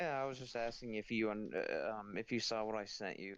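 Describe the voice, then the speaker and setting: Fairly low in pitch, a man talks with ordinary pitch variation. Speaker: stream participant. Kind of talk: casual chat. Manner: halting, many fillers.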